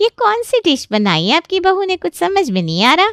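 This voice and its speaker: In a put-on character voice, a woman squeaks at an extremely high pitch with very wide pitch swings and a very fast pace. Her loudness stays very even, and the sound is dry and close with no echo. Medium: cartoon. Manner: gossipy, chatty.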